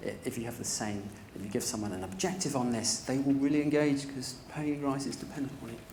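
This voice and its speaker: A man talks at a fairly quick pace in a fairly high pitch, his pitch varying in an ordinary way, with audible room echo. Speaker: privacy and data protection manager. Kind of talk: conference talk. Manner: fast.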